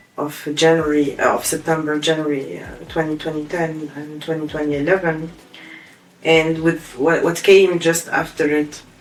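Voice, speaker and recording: Background noise is clearly noticeable. The talking goes at a moderate speed. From Tunisia, Kasserine (center west). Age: 20s. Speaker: human rights activist. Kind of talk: interview testimony. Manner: hesitant, many fillers.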